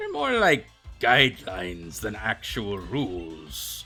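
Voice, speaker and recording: In a put-on character voice, the speaker uses a low pitch at a fairly slow pace while faint music plays in the background. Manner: mock-pirate, not quite convincing.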